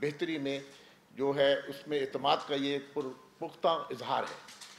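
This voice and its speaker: A man speaks with a monotone, flat intonation. Light background noise sits behind him. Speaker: government minister. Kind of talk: press conference statement. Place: hall. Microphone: podium.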